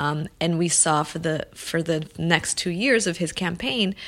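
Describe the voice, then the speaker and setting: Very slow speech with vocal fry and fairly even intonation, in an American accent. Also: woman. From Los Angeles, US. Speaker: filmmaker and activist. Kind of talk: interview.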